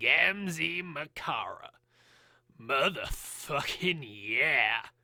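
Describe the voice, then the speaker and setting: In a put-on character voice, a man speaks at a very slow pace, raspy and high-pitched. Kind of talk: casual talk to camera. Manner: erratic, all over the place.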